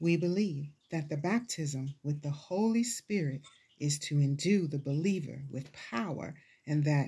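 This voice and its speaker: Against a quiet background, a woman speaks with a very deep, low pitch, ordinary pitch variation, a dark, mellow tone and a somewhat breathy sound. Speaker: preacher teaching the Bible. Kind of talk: Bible teaching sermon. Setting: church service, also streamed online.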